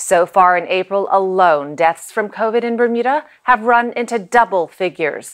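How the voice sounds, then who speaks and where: With a plain, everyday voice, a woman speaks at a moderate pace with hardly any pauses and ordinary pitch variation. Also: medium pitch for a woman. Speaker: news presenter. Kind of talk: TV news read.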